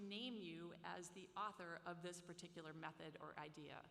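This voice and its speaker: Heard with audible room echo, a woman talks with an American accent. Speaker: professor. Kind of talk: lecture.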